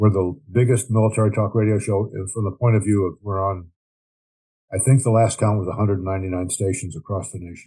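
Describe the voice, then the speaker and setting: A man speaks at a very fast pace in a fairly low pitch, his tone dark and mellow, somewhat breathy, with fairly even intonation. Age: 80s+. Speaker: war veteran. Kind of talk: interview. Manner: frequent filler words and hesitations.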